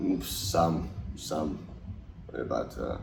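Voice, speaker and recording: There is audible room echo as a man with a very deep, low pitch and vocal fry speaks with fairly even intonation. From Finland. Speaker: ice hockey player. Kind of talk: interview. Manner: halting.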